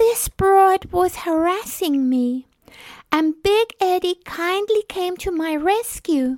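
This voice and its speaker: Dry and close with no echo, a woman's extremely high-pitched voice carries lively intonation at a fairly slow pace. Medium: audio drama. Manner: demure, falsely innocent.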